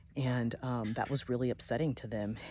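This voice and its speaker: On a very clean recording with a silent background, a woman speaks at a moderate pace in a calm, dark, mellow tone, her very deep, low pitch carrying vocal fry and lively intonation. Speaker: video blogger. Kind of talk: personal vlog monologue. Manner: many filler ums.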